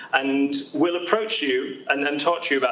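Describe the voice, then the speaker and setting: A man speaks with a British accent and lively intonation at a moderate pace, his pitch fairly high. Noticeable background noise can be heard. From UK. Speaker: haematology doctor. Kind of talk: presentation at patient education event. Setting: hospital event with live audience, also streamed. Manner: hesitant with frequent fillers and repetitions.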